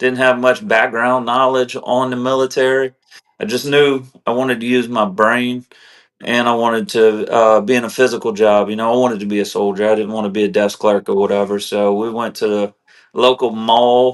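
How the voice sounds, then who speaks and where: Here a man speaks with a South Louisiana accent at a medium pitch. His pace is moderate and his intonation fairly even. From South Louisiana, Morgan City. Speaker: army veteran. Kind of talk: interview. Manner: casual, conversational.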